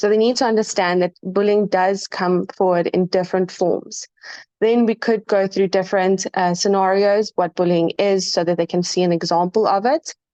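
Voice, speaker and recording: A woman speaks at a moderate pace in a medium pitch, her dark, mellow tone sounding shaky, with fairly even intonation and very even loudness. The sound is dry and close with no echo. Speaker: student. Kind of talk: class presentation.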